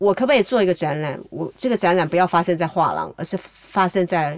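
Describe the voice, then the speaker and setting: A woman speaks at a fairly quick pace and medium pitch in an ordinary speaking voice. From Taiwan. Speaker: novelist, artist and art educator. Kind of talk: interview conversation.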